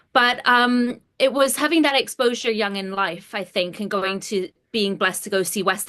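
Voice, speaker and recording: A woman speaks at a moderate pace in a bright, sharp tone. Her intonation is lively, and the background is quiet. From England, then British Columbia, Canada. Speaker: actor. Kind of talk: interview.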